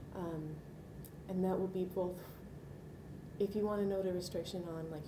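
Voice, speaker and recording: A woman's fairly quick speech with ordinary pitch variation, against noticeable background noise. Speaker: archivist. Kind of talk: interview, professional explanation. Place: meeting room.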